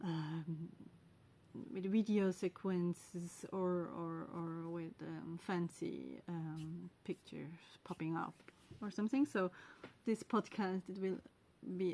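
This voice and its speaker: A woman with a Swiss German accent speaks at a fairly slow pace, her fairly low voice dark and mellow in tone, with ordinary pitch variation. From Switzerland (German-speaking). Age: 40s. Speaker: podcast host, knitter and spinner. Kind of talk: casual monologue. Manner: halting, many fillers and pauses.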